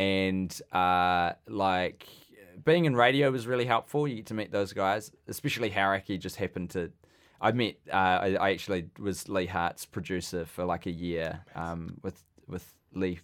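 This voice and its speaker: A man's very deep, low voice with a New Zealand accent, moderate pace and ordinary pitch variation, on a very clean recording with a silent background. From New Zealand, Wellington. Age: 20s. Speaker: comedian. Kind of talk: casual chat. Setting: studio.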